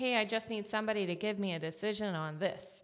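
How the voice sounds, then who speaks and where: A woman with a normal speaking voice, fairly high-pitched with ordinary pitch variation, with an American accent, at a moderate pace. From Atlanta, US South. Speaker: marketing consultant, company founder. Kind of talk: casual interview. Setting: podcast studio.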